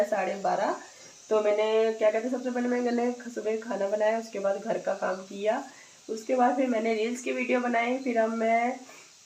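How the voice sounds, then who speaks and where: A woman speaks at a moderate pace with a fairly high pitch and ordinary pitch variation, over noticeable background noise and audible room echo. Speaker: vlogger. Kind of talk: casual vlog.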